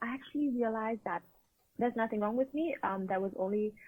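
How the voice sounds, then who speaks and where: Speaking with a Vietnamese accent, a woman uses a medium pitch and ordinary pitch variation. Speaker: empowerment coach. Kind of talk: interview.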